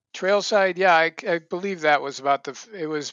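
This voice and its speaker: A man speaks with an American accent at a moderate pace. His pitch variation is ordinary. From southern Minnesota, US Midwest. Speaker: former TV host and magazine editor. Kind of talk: casual interview.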